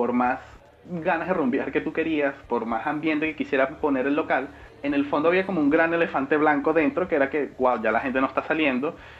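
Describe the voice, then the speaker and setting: Noticeable background noise sits behind a man who speaks at a fairly quick pace and a fairly high pitch with fairly even intonation. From Venezuela. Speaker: podcast co-host. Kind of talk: casual chat.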